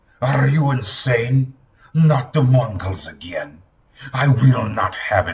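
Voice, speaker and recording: A man does a put-on character voice, growling and shaky, at a medium pitch and a fairly slow pace. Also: ordinary pitch variation. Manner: indignant.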